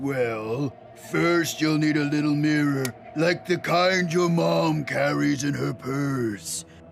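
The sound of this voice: Over clear background noise, a man puts on a cartoonish character voice, pitched fairly high and delivered at a fairly slow pace.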